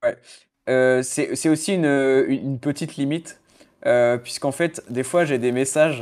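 A man speaks in an unremarkable speaking voice with fairly even intonation. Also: fairly high pitch for a man, fairly slow pace, very clean recording, silent background. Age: 20s. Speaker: freelance SEO consultant. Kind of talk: casual chat.

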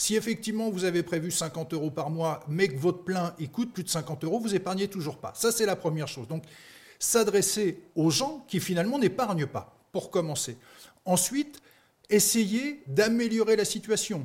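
Moderate pace and lively intonation. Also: man, high pitch for a man. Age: 50s. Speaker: startup founder. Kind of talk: pitch interview.

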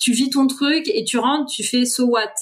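A woman talks with fairly even intonation. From Paris region, France (Essonne). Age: 30s. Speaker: author and pilgrimage traveller. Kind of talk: podcast interview. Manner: casual, hesitant.

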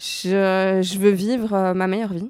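Woman's dark, mellow voice, very slow and monotone, dry and close with no echo, on a very clean recording with a silent background. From Belgium, Brussels. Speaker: fashion journalist. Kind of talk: interview.

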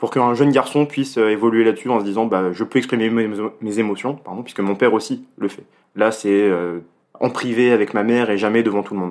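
Fairly even in intonation, a man speaks at a medium pitch and a fairly quick pace. The recording is very clean, with a silent background. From Paris region, France. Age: 20s. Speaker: political science student. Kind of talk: interview. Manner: hesitant, many fillers.

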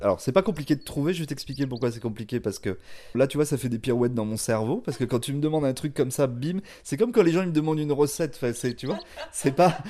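Over a silent background in a very clean recording, a man speaks very fast with lively intonation, a fairly high pitch, and a dark, mellow tone. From France, of Spanish parents. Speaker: chef. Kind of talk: casual interview.

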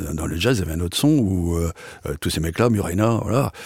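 A man's very deep, low voice with a dark, mellow tone and lively intonation. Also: very clean recording, silent background. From northern France (Picardy). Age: 70s. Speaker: accordionist and variety artist. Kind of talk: casual interview, storytelling.

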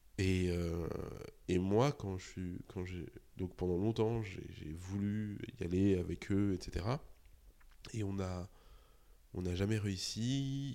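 A man speaks in a very deep, low pitch with ordinary variation. His pace is very slow, with long, frequent pauses. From Paris suburbs (Argenteuil, Val-d'Oise), France. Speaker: journalist and podcaster. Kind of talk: interview. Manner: halting, many repetitions and fillers.

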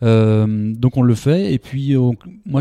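A man's medium-pitched voice over a quiet background. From France, Bordeaux. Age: 30s. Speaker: startup founder, former medical sales rep. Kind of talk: interview. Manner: hesitant, many fillers and repetitions.

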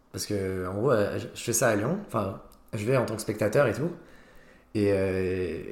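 Fairly low pitch from a man at a fairly slow pace, with long, frequent pauses and audible room echo. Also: ordinary pitch variation. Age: 20s. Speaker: student and comedy club founder. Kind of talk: casual interview chat.

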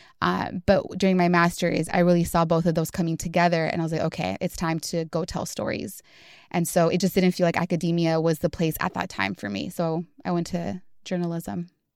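Speaking in a Californian accent, a woman with a fairly low pitch talks at a fairly quick pace with ordinary pitch variation, on a very clean recording with a silent background. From Southeast Los Angeles. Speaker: podcast engagement producer. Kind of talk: interview.

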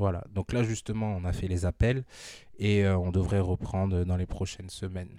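On a very clean recording with a silent background, a man speaks at a moderate pace in a very deep, low pitch, his dark, mellow tone delivered with monotone, flat intonation. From northern France, Amiens. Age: 30s. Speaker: former basketball player and entrepreneur. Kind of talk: casual interview, testimony.

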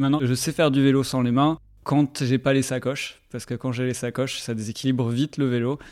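A man speaks in a monotone, flat way at a fairly quick pace. The recording is very clean, with a silent background. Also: medium pitch for a man. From southwest France (Bordeaux, Basque Country). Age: 30s. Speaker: researcher, cycle traveller. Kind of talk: personal storytelling interview. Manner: hesitant, many fillers and repetitions.

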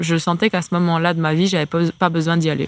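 Recorded very cleanly against a silent background, a woman speaks at a moderate pace in a plain, everyday voice with a fairly low pitch. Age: 20s. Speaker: professional basketball player. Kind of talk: casual interview.

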